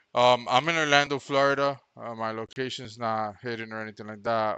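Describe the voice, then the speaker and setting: A man speaks at a moderate pace with fairly even intonation. The sound is dry and close with no echo, over a quiet background. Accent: non-native. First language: not English. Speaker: electronics repair technician. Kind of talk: live-streamed repair commentary. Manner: casual, thinking aloud.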